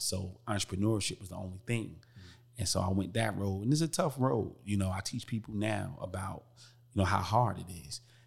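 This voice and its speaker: A somewhat breathy man at a fairly low pitch, with ordinary pitch variation, a moderate pace, and a very clean recording with a silent background. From Newark, New Jersey. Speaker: author and entrepreneur. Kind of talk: podcast interview.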